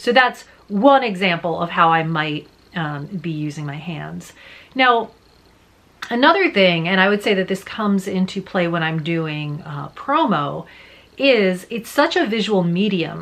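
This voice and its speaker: Here a woman speaks in a plain, everyday voice at medium pitch. Her pace is fairly slow and her intonation lively. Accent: American. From New Jersey. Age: 40s. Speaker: voice actor. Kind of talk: casual talk to camera.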